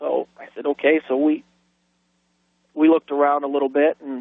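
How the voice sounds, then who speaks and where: A man with an American accent, a fairly high pitch and monotone, flat intonation. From northeastern Ohio, USA. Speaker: police officer. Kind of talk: radio call-in ghost story. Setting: phone line.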